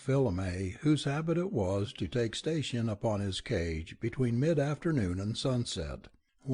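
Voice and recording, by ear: This is reading aloud in a natural voice with lively intonation.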